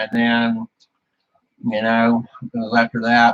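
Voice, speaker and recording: A man with a Southern US accent speaks at a medium pitch in a flat monotone, recorded with a dry, close sound and no echo. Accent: hillbilly way of talking. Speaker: YouTuber / streamer. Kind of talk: casual chat.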